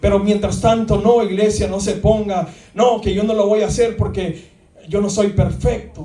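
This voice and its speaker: Noticeable background noise sits behind a man who talks at a fairly slow pace with a high pitch and fairly even intonation. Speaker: pastor. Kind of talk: sermon. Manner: repetitive, halting.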